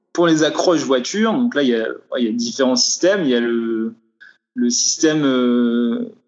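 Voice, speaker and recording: A man's medium pitch with lively intonation at a moderate pace. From France, Vosges. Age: 20s. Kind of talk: interview. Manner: halting.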